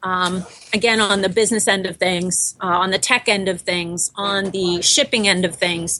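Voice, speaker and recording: A woman's medium-pitched voice with fairly even intonation at a moderate pace. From Boston. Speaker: bakery co-founder. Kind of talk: interview.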